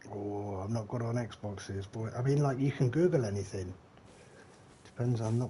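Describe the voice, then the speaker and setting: A man with a Leicestershire accent speaks at a moderate pace in a dark, mellow, somewhat breathy tone with ordinary pitch variation. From English Midlands, Leicestershire. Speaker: gaming streamer. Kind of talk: live gameplay stream chat. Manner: casual, chatty.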